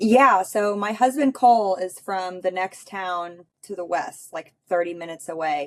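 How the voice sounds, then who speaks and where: Hardly pausing, a woman at a medium pitch speaks at a fairly slow pace with ordinary pitch variation and big swings in loudness. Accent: American. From US Midwest, northwest Missouri. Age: 30s. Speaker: farmer and rancher. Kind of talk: casual chat.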